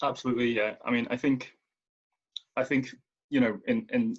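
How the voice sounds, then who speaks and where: In a Merseyside accent, a man talks at a fairly quick pace. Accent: relatively soft Merseyside. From Merseyside, England. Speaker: writer and editor. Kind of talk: panel discussion.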